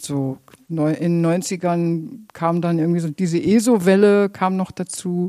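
Her dark, mellow tone and ordinary pitch variation come through in a very clean recording with a silent background, as a woman speaks. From Germany, Minden area (Westphalia). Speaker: theatre musical director and vocal coach. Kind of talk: interview.

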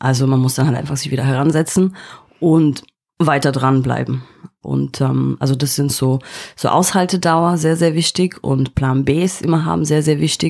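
This woman's voice sits very deep and low, with ordinary pitch variation. She talks at a moderate pace. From East Germany (East Berlin). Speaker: finance executive. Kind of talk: interview. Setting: studio. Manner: halting, many repetitions and fillers.

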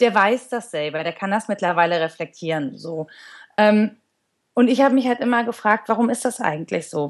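A woman's medium-pitched, unremarkable speaking voice with lively intonation at a moderate pace. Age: 30s. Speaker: sports journalist. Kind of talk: interview.

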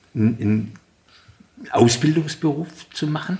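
A man's somewhat breathy voice. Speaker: podcast co-host, politician. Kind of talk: casual chat.

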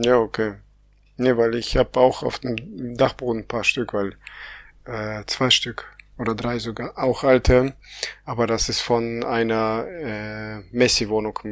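With long, frequent pauses, a man talks very slowly in a monotone, flat intonation. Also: medium pitch for a man. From Kazakhstan. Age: 30s. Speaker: podcast co-host. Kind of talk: casual chat.

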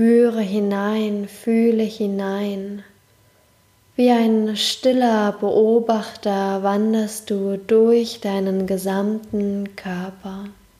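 A woman speaks at a very slow pace in a medium pitch. Her tone is calm and soothing, and her intonation monotone and flat. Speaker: podcast host and meditation guide. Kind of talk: guided meditation. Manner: slow, calm, soothing, with long pauses; soft-spoken, gentle, warm.

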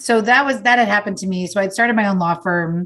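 Against a quiet background, a woman speaks with a New York accent. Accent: New York American. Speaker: author. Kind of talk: interview.

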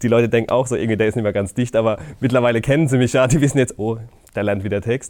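This man has a dark, mellow tone. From Palatinate (Deidesheim), Germany. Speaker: comedian. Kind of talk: casual chat. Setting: theater venue.

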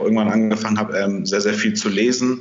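Delivered in a monotone, flat intonation, the speech carries audible room echo over noticeable background noise. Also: man. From northern Germany, Kiel. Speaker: marketing agency founder. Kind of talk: interview.

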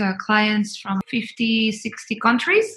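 A woman with a Spanish accent, fairly high in pitch, very slow and monotone with flat intonation. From Colombia. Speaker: travel company marketing and sales executive. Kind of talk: podcast interview. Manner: hesitant, many fillers and repeated words.

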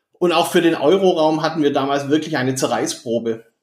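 A man speaks at a moderate pace with a Swabian accent. His pitch is fairly high and his intonation fairly even. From southern Germany, Stuttgart (Swabia). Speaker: management consultant. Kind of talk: interview. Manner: hesitant fillers.

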